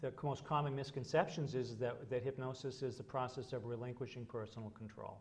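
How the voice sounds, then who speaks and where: A man's somewhat breathy medium-pitched voice at a fairly quick pace, with hardly any pauses and fairly even intonation. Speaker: hypnotist. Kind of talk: interview.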